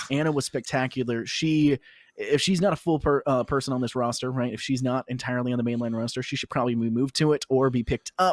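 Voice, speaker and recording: On a very clean recording with a silent background and a dry, close sound with no echo, a man speaks very fast at medium pitch. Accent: slight Southern US. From US South. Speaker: esports caster. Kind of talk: live commentary. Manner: animated.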